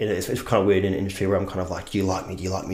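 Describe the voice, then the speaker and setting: In an Australian accent, a man with a fairly low pitch talks at a very fast pace amid audible room echo and noticeable background noise. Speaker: actor. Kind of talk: casual chat.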